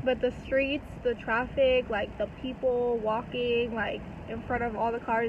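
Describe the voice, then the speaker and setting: Noticeable background noise surrounds a woman speaking in a dry sound with no echo. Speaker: vlogger. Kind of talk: casual vlog chat. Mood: amused, chatty. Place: car. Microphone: phone near.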